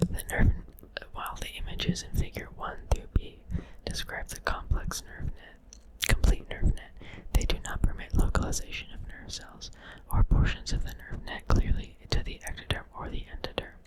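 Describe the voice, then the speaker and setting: A whisper at moderate speed, noticeable noise behind it. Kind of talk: ASMR reading of a science article. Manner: whispered; soft.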